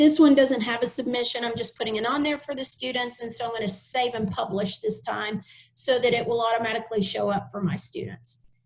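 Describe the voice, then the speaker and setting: Hardly pausing, a woman talks at a fairly quick pace in a fairly high pitch with vocal fry and ordinary pitch variation. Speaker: teacher trainer. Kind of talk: tutorial. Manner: fast; casual with frequent fillers.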